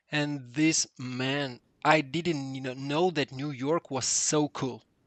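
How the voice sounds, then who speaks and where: A man's fairly high voice, very slow, with monotone, flat intonation. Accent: Russian. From Russia. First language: Russian. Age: 30s. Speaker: 3D artist. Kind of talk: casual chat. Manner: halting.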